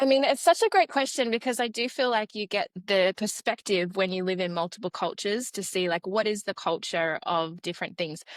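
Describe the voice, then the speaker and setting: A woman with an Australian accent, medium in pitch, at a fairly quick pace with hardly any pauses and lively intonation, on a very clean, dry, close recording with no echo and a silent background. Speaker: educational psychologist. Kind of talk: podcast interview.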